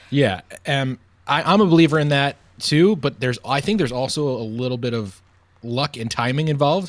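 With an American accent and an unremarkable speaking voice, a man talks at a fairly quick pace, fairly high in pitch, with ordinary pitch variation. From Long Island, New York. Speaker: sports radio broadcaster. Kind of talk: casual chat.

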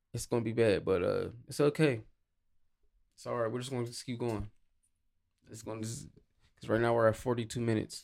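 The speech comes at a very fast pace with vocal fry. Pitch varies in an ordinary way. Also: man. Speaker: podcast co-host. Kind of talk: casual chat between a couple. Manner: playful, joking.

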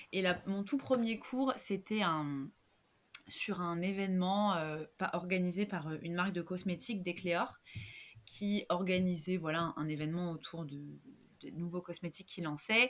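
At a fairly slow pace, a normal speaking voice moves with ordinary pitch variation. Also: woman, fairly low pitch for a woman. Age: 30s. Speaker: yoga teacher and social worker. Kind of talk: casual interview.

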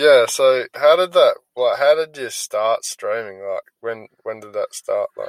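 A man with an Australian accent at a fairly slow pace, hardly any pauses, and a dry, close sound with no echo. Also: big swings in loudness. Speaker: podcast host and gaming team leader. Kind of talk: casual interview.

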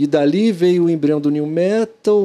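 A man with a high, dark, mellow voice speaks at a fairly slow pace, his pitch varying in an ordinary way. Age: 40s. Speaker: podcast host. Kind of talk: casual interview chat.

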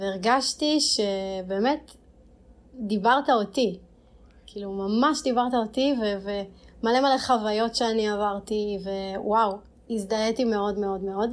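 This woman's pace is very slow. She shows ordinary pitch variation. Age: 30s. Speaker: podcast host and blogger. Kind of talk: casual interview.

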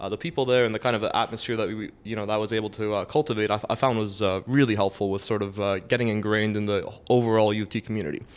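Over a quiet background, a man with a Toronto accent and fairly low pitch talks at a very fast pace. He has fairly even intonation and hardly any pauses. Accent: Toronto Canadian English. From Canada, Toronto (Scarborough). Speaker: university student. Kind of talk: casual chat. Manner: halting, many fillers.

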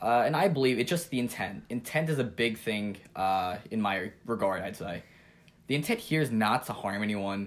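With a plain, everyday voice and an American accent, a man speaks at a moderate pace in a fairly low pitch with lively intonation. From New York, Long Island (Jericho). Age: 20s. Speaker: podcast co-host, college student. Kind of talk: casual chat.

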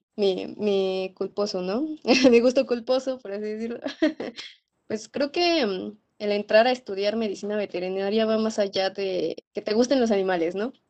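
A woman speaks at a moderate pace in a fairly high pitch. Her tone is dark and mellow, with ordinary pitch variation. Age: 20s. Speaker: veterinary student. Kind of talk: interview.

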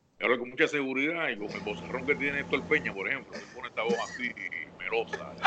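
A man talks at a very fast pace with very wide pitch swings and a fairly high pitch. Noticeable background noise runs behind him. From Puerto Rico, Naguabo. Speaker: sports analyst and journalist. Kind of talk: casual interview chat.

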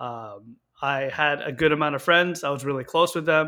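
In a Canadian accent, an ordinary speaking voice moves at a moderate pace with fairly even intonation. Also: man. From Canada, Victoria BC. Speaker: cadet instructor officer. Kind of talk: interview.

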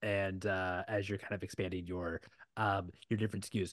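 This man's fairly low voice has a bright, sharp tone and an enthusiastic tone, moving at a fairly quick pace over a quiet background. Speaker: webinar moderator, community manager. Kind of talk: moderating a panel webinar. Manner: halting, many fillers.

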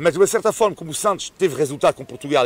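A man talks at a very fast pace. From France. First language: French (speaking Portuguese). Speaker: sports commentator. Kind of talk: casual chat.

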